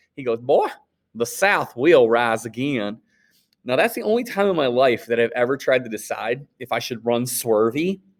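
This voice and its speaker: A man speaks with a Northern US accent at a moderate pace, his pitch medium and its variation ordinary. The recording is very clean, with a silent background. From Wisconsin, US Upper Midwest. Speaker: high school history teacher. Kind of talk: recorded class lecture. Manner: casual, halting with repetitions.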